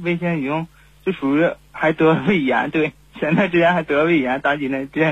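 A man speaks in a fairly high pitch. His pace is fairly quick. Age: 20s. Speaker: caller, game streamer. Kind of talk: phone-in confession. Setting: phone call. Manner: halting, many fillers.

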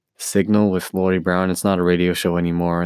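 Monotone, flat intonation at a moderate pace comes through dry and close with no echo on a very clean recording with a silent background. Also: man. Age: 20s. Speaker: musician. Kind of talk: personal monologue. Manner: halting.

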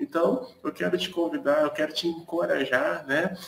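Male speech with ordinary pitch variation and noticeable background noise. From Brazil, Niterói (Rio de Janeiro). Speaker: pastor, live prayer host. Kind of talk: live-stream devotional chat. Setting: live stream from his balcony.

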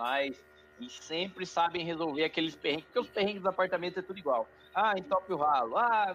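Lively intonation is heard over music playing in the background. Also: man. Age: 30s. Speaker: podcast co-host. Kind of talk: casual chat.

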